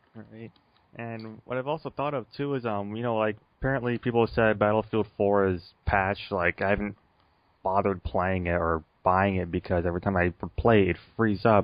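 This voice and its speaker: Here is a normal speaking voice with an American accent. It moves at a fairly quick pace with ordinary pitch variation. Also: man, fairly low pitch for a man. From United States. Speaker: gaming podcast co-host. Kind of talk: casual chat.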